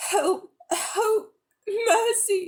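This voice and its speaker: A female-sounding put-on character voice reaches an extremely high pitch. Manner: pleading, terrified.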